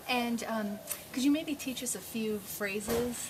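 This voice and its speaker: Through noticeable background noise, a woman talks at a moderate pace with ordinary pitch variation. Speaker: interviewer, travel blogger. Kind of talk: interview questions.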